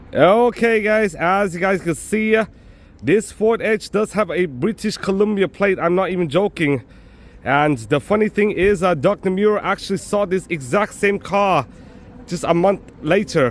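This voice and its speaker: With a high pitch and ordinary pitch variation, a man talks at a moderate pace. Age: 20s. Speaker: travel vlogger. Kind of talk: travel vlog narration. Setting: walking around the city. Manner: casual, filler-heavy (um, uh, like).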